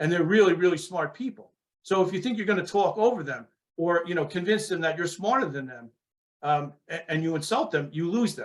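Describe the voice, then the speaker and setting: With a New York accent, a high-pitched man speaks at a fairly quick pace. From New York, Long Island. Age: 60s. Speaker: former police sergeant and author. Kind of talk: interview.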